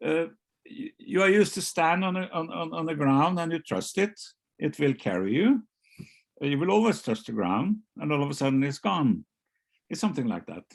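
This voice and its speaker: Speaking with a Norwegian accent, a man uses a fairly high pitch with very wide swings. He leaves long, frequent pauses. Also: fairly quick pace. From Norway, Oslo. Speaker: novelist. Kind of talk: author interview. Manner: halting, many repetitions.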